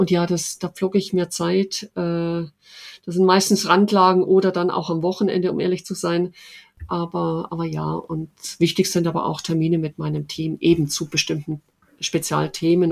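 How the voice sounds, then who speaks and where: The voice carries a slight Swabian accent. The pace is fairly quick. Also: woman. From Oberschwaben, southern Germany. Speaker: head of recruiting at a large company. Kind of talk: interview. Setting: home office. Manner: many fillers, hesitant.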